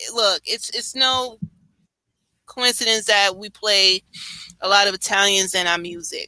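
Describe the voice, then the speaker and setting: In a New York accent, a woman speaks at a fairly slow pace with lively intonation and a bright, sharp tone, the sound dry and close with no echo. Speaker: live stream host. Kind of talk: casual chat.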